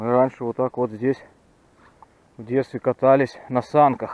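A man is speaking. The sound is dry, with no echo. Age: 40s. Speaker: fishing video blogger; angler vlogger. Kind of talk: outdoor vlog narration. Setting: outdoors by a river. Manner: casual, reflective. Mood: nostalgic, relaxed. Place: forest. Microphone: phone near.

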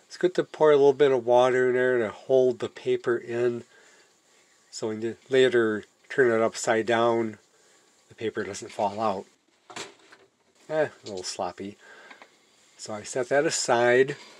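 At a moderate pace, a man speaks with ordinary pitch variation, big swings in loudness and long, frequent pauses, over light background noise. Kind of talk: tutorial. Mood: relaxed, self-deprecating. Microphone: phone near.

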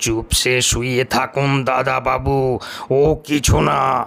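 In a put-on character voice, a man talks at a very slow pace, medium in pitch, with monotone, flat intonation. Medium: read story. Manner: calm, unhurried, deferential.

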